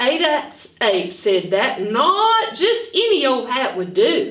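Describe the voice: A woman's high, fairly bright voice at a slow pace, with big pitch swings and strong room echo.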